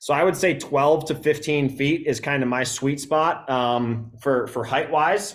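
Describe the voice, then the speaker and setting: With an American accent, a man speaks in a normal speaking voice at a fairly high pitch, fairly slowly and with hardly any pauses, his pitch varying in an ordinary way. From Wisconsin, US Midwest. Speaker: bowhunting gear presenter. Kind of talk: live stream gear tutorial. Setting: live stream with camera operator. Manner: casual, many fillers.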